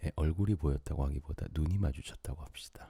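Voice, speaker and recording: Calm and somewhat breathy, a man speaks in a very deep, low pitch with a dark, mellow tone and a dry, close sound with no echo. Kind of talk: late-night sleep radio talk. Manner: soft-spoken, calm.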